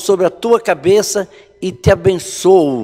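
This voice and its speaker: A man's high-pitched voice, dark and mellow in tone, at a very slow pace. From rural Brazil. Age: 60s. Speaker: pastor. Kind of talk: sermon. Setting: online church service. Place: church.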